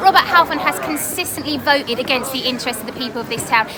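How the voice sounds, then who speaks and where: A woman speaks at a very fast pace in a raised, projected voice, her pitch high with ordinary variation. Room echo is audible, with crowd noise in the background. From southern England, Harlow, Essex. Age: 30s. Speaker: parliamentary candidate. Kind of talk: interview.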